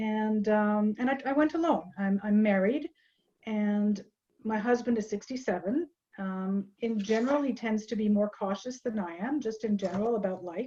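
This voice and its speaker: Somewhat breathy and dark, mellow in tone, a woman talks at a moderate pace with a fairly high pitch and ordinary pitch variation. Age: 60s. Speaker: traveler sharing a trip. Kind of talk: interview about a trip.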